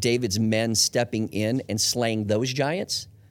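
Speaking at a moderate pace, a man has a normal speaking voice at medium pitch. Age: 40s. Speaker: church executive staff leader. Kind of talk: podcast interview.

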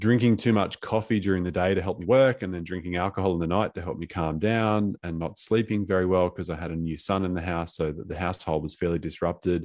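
A man's very deep, low voice with an Australian accent, very fast with hardly any pauses, ordinary pitch variation, and a quiet background. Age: 40s. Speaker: podcast host and coach. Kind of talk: interview conversation. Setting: video call.

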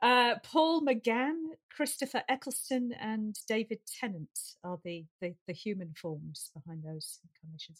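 With a Lancashire accent, a woman speaks at a fairly high pitch, her voice making very wide pitch swings and big swings in loudness. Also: fairly slow pace, dry, close sound with no echo. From Lancashire, northern England. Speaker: science fiction writer. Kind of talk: casual chat.

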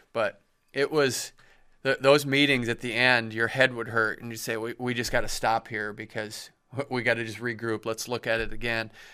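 A man with a Midwestern American accent, medium pitch, a bright, sharp tone and monotone, flat intonation. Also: moderate pace. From Iowa, Cedar Falls. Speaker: wrestling writer and historian. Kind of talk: casual interview chat. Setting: studio.

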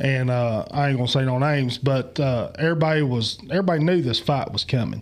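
A man speaks at a very fast pace in a fairly high pitch, with an Appalachian accent. He hardly pauses at all, and his loudness stays very even. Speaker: podcast host. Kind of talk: casual chat. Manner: abrasive.

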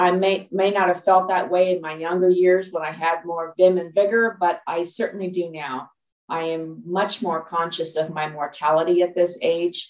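Speaking with hardly any pauses, a woman uses a fairly low pitch and a monotone, flat intonation. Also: moderate pace. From US West Coast, Los Angeles. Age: 60s. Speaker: health informatics professional. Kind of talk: interview conversation.

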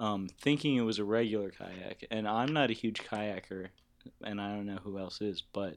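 A man's normal speaking voice, fairly low in pitch with ordinary variation, on a very clean recording with a silent background. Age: 20s. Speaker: podcast host and law student. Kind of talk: casual chat. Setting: studio.

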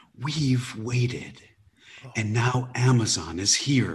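Speaking at a very slow pace, a man with a medium pitch sounds somewhat breathy. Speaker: stand-up comedian. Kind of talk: casual interview chat. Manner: jokey, self-deprecating.

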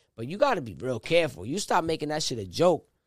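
A man speaks very fast with a fairly high pitch and lively intonation. The recording is very clean, with a silent background. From Rhode Island. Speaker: independent rapper. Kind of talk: casual chat, podcast interview. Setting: studio.

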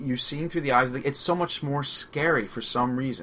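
With a Long Island accent, a man talks at a moderate pace in a bright, sharp tone with fairly even intonation. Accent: Long Island New York. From Long Island, New York. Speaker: radio host. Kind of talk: casual chat, movie discussion.

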